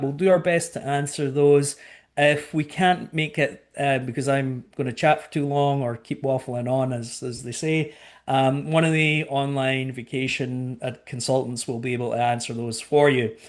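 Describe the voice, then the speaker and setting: A man with a Scottish accent speaks at a moderate pace and a fairly high pitch. His intonation is fairly even over a quiet background. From Scotland. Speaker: cruise line sales director. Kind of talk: webinar presentation. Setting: online webinar.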